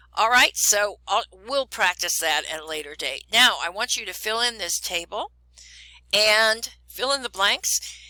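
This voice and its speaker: A woman speaks in a bright, sharp tone with a fairly high pitch. Her intonation is lively and her pace fairly slow. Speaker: chemistry teacher. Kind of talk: recorded lesson. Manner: calm.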